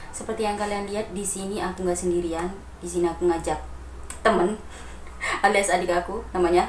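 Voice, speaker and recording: This woman has a medium pitch and a flat, monotone delivery, with long, frequent pauses and noticeable background noise behind her. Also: fairly quick pace. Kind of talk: casual talk to camera.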